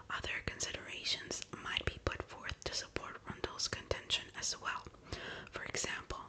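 A woman speaks softly. Loud background noise surrounds her. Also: moderate pace. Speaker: ASMR true-crime narrator. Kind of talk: soft-spoken true crime storytelling. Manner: soft, hushed ASMR narration. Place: home room.

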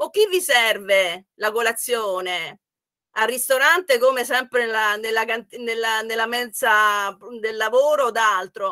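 A woman's fairly high voice, bright and sharp in tone, with ordinary pitch variation, a fairly slow pace and a quiet background. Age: 60s. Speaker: economics professor. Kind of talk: online workshop talk. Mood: warm, often smiling. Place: home room. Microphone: webcam.

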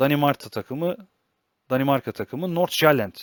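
A man's voice at a moderate pace with ordinary pitch variation, an ordinary speaking voice, in a very clean recording with a silent background and a dry, close sound with no echo. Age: 20s. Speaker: football analysis YouTuber. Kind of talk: solo football analysis commentary.

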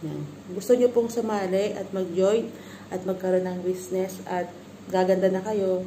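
A woman with a plain, everyday voice talks at a moderate pace in a medium pitch, her intonation fairly even over light background noise. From Philippines. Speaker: vlogger. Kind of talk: product review vlog. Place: home room. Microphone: phone near.

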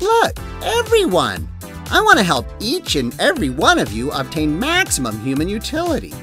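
A man at a moderate pace over clear background music. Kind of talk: infomercial pitch. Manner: upbeat, reassuring salesman.

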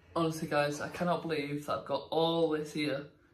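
The voice is somewhat breathy, with monotone, flat intonation at a moderate pace. Audible room echo and light background noise are present. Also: man. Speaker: vlogger. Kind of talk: casual vlog chat. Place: kitchen. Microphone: phone near.

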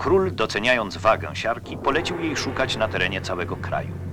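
Music is heard in the background. Over it, a man talks at a moderate pace. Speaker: documentary narrator. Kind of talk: documentary narration.

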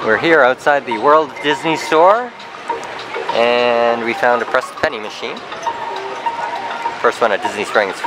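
Fairly slow speech with long, frequent pauses, a dry sound with no echo, and noticeable background noise. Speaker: family vlogger. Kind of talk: casual vlog chat. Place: street. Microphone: phone near.

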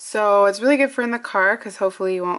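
A woman with ordinary pitch variation, with light background noise. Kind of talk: casual vlog chat. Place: home room. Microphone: phone near.

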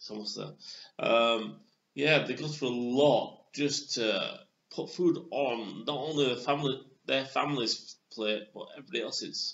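Pitched medium, a man speaks at a fairly slow pace with ordinary pitch variation. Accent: Yorkshire. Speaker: beer reviewer. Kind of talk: casual video review. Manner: hesitant, many fillers.

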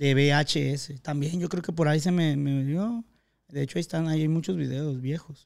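A man speaks at a moderate pace in a plain, everyday voice. His pitch is fairly high for a man, with ordinary pitch variation. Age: 20s. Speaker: podcast host. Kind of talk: casual chat.

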